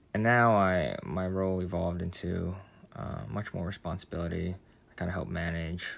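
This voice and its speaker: Very deep and low, a man's voice with an American accent moves at a moderate pace with ordinary pitch variation. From New York City, then Central New Jersey. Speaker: employee at a benefits company. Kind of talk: casual interview.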